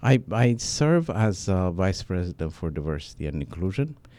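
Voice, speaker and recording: A man's very deep, low voice with a dark, mellow tone at a moderate pace. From Africa. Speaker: medical school diversity administrator. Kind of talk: interview. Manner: halting, many fillers.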